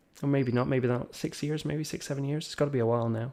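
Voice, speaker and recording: At a very fast pace, a man speaks with a dark, mellow tone and fairly even intonation. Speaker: event host, interviewer. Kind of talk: casual interview chat.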